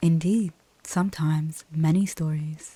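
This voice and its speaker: A soft-spoken voice with a relaxed tone moves at a fairly slow pace. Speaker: ASMR gaming YouTuber. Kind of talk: reading in-game story dialogue aloud. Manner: soft-spoken, relaxed.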